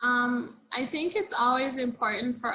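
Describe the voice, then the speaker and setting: Speaking at a moderate pace in a Caribbean accent, a woman uses a high voice with ordinary pitch variation. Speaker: social work professor. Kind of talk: webinar Q&A answer.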